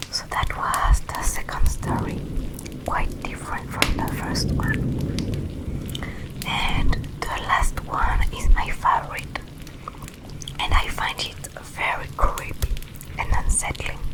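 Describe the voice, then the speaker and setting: Against noticeable background noise, a woman whispers breathily at a very slow pace, with long, frequent pauses. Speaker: ASMR creator. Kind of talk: casual ASMR talk to viewer. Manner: breathy whisper.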